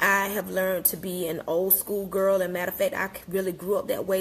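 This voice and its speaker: A woman talks at a very fast pace. Her intonation is flat and monotone. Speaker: wellness coach. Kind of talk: casual live-stream talk. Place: kitchen. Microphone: phone near.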